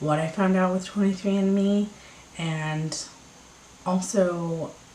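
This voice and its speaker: Quietly and at a very slow pace, a woman speaks against noticeable background noise. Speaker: vlogger. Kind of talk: casual chat. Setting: at home. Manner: quiet, low voice.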